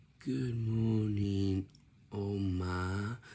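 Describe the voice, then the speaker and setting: The speaker uses a put-on character voice. The intonation stays fairly even. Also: man, fairly low pitch for a man. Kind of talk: mumbled greeting to grandmother.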